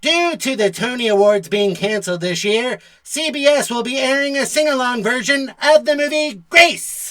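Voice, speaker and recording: Fairly high-pitched cartoonish character voice at a moderate pace, with hardly any pauses. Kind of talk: mock TV news anchor. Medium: puppet show. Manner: smug, pun-loving.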